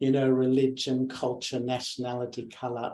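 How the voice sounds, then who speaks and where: An Australian-accented man speaks at a moderate pace. His voice sits at medium pitch with a dark, mellow tone. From Australia, Melbourne. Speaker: meditation teacher. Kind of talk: spiritual talk, personal story.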